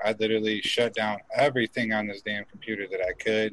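This man has an unremarkable speaking voice. He talks fairly quickly in a fairly low pitch. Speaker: cannabis show host. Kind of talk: casual chat.

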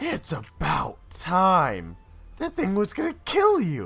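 A man performs a put-on character voice at a very slow pace. Faint music plays in the background. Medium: actual play. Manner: blunt, sardonic.

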